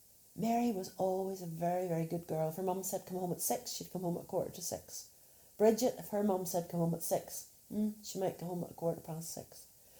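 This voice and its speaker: A woman talks at a fairly quick pace in a medium pitch with a dark, mellow tone. Her voice is somewhat breathy and her intonation fairly even. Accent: Northern Irish. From Northern Ireland. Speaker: storyteller. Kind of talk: children's storytelling.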